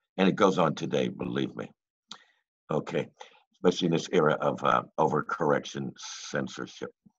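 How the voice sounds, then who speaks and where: A man with a very deep, low pitch and vocal fry talks at a moderate pace with ordinary pitch variation. He leaves long, frequent pauses against a quiet background. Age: old. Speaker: open mic host. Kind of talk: open mic hosting. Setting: video call. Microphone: video call.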